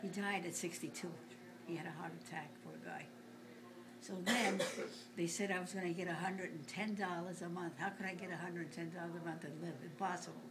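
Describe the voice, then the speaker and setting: Speaking at a fairly quick pace, a woman keeps her intonation fairly even. Audible room echo and noticeable background noise come through. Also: fairly low pitch for a woman. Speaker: grandmother telling family stories. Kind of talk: casual family interview. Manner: halting.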